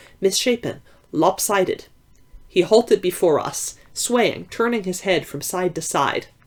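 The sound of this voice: The speaker has an unforced reading voice and ordinary pitch variation.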